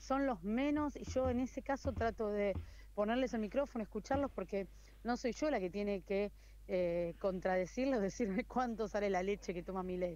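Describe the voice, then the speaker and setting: In an unremarkable speaking voice, a woman talks at a moderate pace. Her pitch is medium and varies in an ordinary way. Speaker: TV news reporter. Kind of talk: interview.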